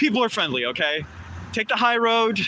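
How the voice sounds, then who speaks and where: Raising and projecting his voice, a man speaks with a high pitch and a bright, sharp tone. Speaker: street activist. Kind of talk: casual chat. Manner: loud.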